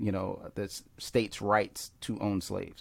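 Monotone and flat, a man speaks at a very slow pace with an American accent. His pitch sits fairly low. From Philadelphia, US Northeast. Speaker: pastor and filmmaker. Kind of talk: casual interview chat.

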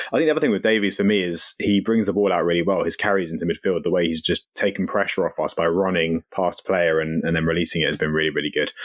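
Speaking very fast with hardly any pauses, a man in a British accent has a very deep, low pitch, very even loudness, and ordinary pitch variation. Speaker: football podcast host. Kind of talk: casual chat.

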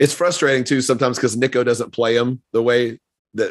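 This man talks at a fairly quick pace at a medium pitch, with fairly even intonation and an ordinary speaking voice. The recording is very clean, with a silent background. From US South. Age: 50s. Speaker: podcast host. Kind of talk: casual chat.

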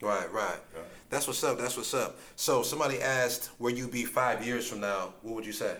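A man keeps a moderate pace while audible echo fills the room around him. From Ohio. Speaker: podcast host, motivational speaker. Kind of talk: casual interview. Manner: energetic.

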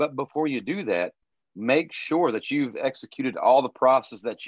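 A man speaks in a plain, everyday voice. His pitch varies in an ordinary way, and his pace is moderate. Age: 40s. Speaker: car detailing business owner. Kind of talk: interview.

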